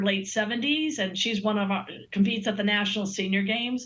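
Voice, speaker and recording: Over noticeable background noise, a woman speaks fairly quickly at medium pitch with fairly even intonation. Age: 60s. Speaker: Olympic swimmer and sponsor representative. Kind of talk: TV interview.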